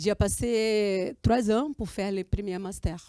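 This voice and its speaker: In a dry, close sound with no echo, a woman speaks at a fairly high pitch. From Brazil. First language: Portuguese (speaking French). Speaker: student and filmmaker. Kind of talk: interview. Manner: halting.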